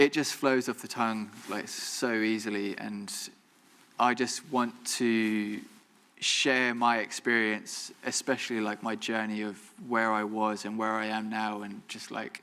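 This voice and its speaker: A mumbling man at a fairly slow pace, medium pitch, bright, sharp tone and monotone, flat intonation. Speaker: photographer, alumni guest speaker. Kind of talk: Q&A after a talk. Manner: careful enunciation, occasional stumbles.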